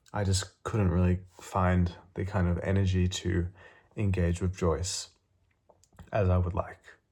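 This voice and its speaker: Mumbling at a fairly slow pace, a man speaks in a very deep, low voice with a dark, mellow tone and a somewhat breathy quality. His loudness stays very even and his intonation is monotone and flat. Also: very clean recording, silent background. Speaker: booktuber. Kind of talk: casual vlog talk. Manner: halting, many fillers.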